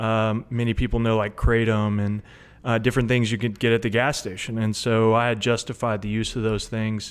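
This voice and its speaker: A man with a Tennessee accent talks at medium pitch in a monotone, flat delivery. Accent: Tennessee Southern. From US South. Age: 30s. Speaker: recovering addict, delivery driver. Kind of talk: testimony.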